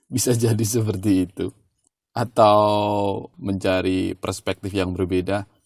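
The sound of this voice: Slow-ish and fairly low, a man's voice has a slightly mellow tone and little pitch movement at a fairly slow pace.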